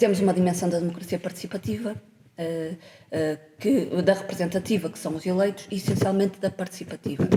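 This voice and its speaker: Over noticeable background noise, a woman talks at a fairly quick pace with a medium pitch, fairly even intonation, and big swings in loudness. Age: 40s. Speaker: politician. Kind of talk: podcast interview.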